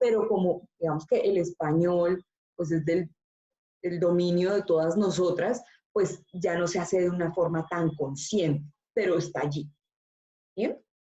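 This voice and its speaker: A woman's somewhat breathy voice at a fairly slow pace, with long, frequent pauses and very even loudness. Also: fairly low pitch for a woman, fairly even intonation. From Colombia, Antioquia (paisa region). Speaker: university teacher. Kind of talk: online class discussion.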